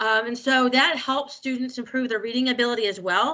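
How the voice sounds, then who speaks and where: A woman talks at a fairly quick pace. Her pitch sits fairly high and varies in an ordinary way. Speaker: university staff presenter on accessibility. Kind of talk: presentation. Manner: fast.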